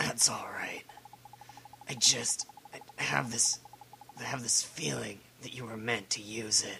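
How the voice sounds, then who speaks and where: A whispering, raspy put-on character voice from a man at a fairly slow pace. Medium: game stream. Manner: halting, stammering.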